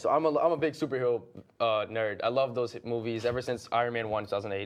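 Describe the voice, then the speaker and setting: Here a man talks at medium pitch and a fairly quick pace. It is an unremarkable speaking voice with ordinary pitch variation. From US, Boston area, Brazilian-American family. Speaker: actor. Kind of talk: casual chat.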